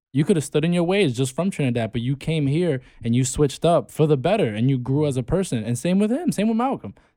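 In a very clean recording with a silent background, a man with a dark, mellow tone and fairly high pitch speaks at a very fast pace with hardly any pauses. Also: lively intonation. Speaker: podcast co-host. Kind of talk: casual chat.

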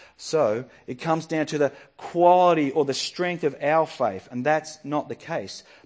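Against a quiet background, a man with an Australian accent speaks at a fairly slow pace in a fairly high pitch. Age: 40s. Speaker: pastor. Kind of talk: sermon.

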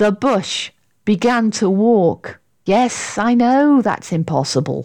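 A natural reading voice over a quiet background

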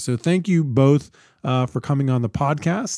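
Here is an ordinary speaking voice from a man at medium pitch, with ordinary pitch variation. The sound is dry and close with no echo on a very clean recording with a silent background. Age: 50s. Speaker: podcast host, think tank director. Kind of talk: interview.

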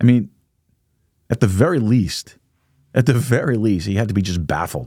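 A man with an American accent speaks at a moderate pace in a fairly low pitch, his tone dark and mellow. His intonation is lively, and the recording is very clean with a silent background. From New York. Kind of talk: Bible study teaching. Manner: casual with frequent fillers.

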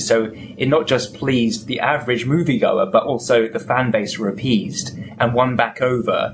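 Heard over noticeable background noise, a man talks at a medium pitch with ordinary pitch variation. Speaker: podcast host. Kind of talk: interview.

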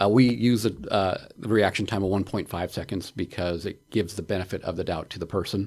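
A man's fairly low voice at a fairly quick pace, with fairly even intonation. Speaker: police officer. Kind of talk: casual chat. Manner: gestures a lot while talking.

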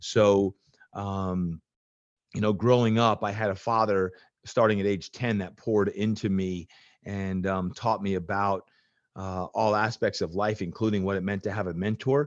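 In a dry, close recording with no echo and a quiet background, a man with an American accent and an ordinary speaking voice talks at a moderate pace, his fairly low pitch held in fairly even intonation. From New Jersey. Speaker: fitness coach. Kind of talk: interview.

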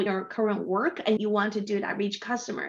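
A woman speaks with a Chinese accent. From China. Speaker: tech business development leader. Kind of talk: interview. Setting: video call.

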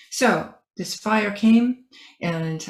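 A somewhat breathy woman's voice. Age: 70s. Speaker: author and entrepreneur. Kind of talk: casual interview. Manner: halting.

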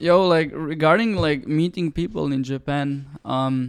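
Over music in the background, a man speaks in a fairly high voice with ordinary pitch variation. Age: 20s. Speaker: photographer and videographer. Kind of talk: casual chat. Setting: on location in Tokyo.

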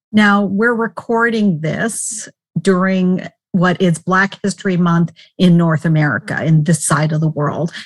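Somewhat breathy voice at a fairly slow pace, with ordinary pitch variation and a dry, close sound with no echo. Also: woman, fairly low pitch for a woman. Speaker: podcast co-host. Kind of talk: interview conversation.

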